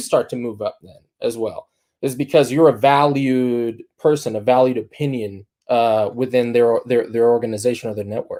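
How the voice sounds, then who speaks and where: Over a very clean recording with a silent background, a man with a Spanish accent speaks at medium pitch in a dark, mellow tone, his loudness swinging widely. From Dominican Republic. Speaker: agency founder. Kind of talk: talk to students. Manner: many fillers and repetitions.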